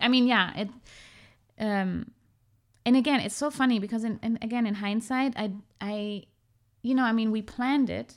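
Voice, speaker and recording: On a very clean recording with a silent background, a woman with a German accent speaks at a moderate pace and a fairly high pitch, her intonation fairly even and her pauses long and frequent. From Germany, half Iranian. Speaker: podcast guest. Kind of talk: casual chat.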